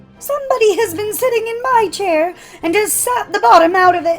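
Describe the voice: A put-on character voice, raised and projected, moves at a fairly quick pace with faint music in the background. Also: woman.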